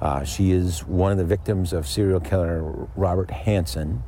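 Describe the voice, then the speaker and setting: A man with ordinary pitch variation and a very deep, low pitch talks at a moderate pace through noticeable background noise. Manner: hesitant with many fillers.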